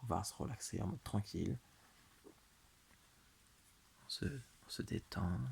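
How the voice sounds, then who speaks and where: A man's soothing, fairly low voice with vocal fry, lively intonation and a very slow pace. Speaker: ASMR creator. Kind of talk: guided relaxation hypnosis. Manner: slow, soothing.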